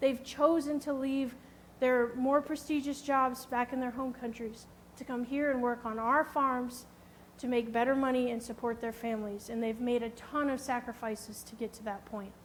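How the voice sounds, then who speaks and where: Her high-pitched delivery is monotone and flat, set at a moderate pace, while this woman's loudness swings widely. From Missouri, US Midwest. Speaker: HR specialist and conference speaker. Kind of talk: conference presentation.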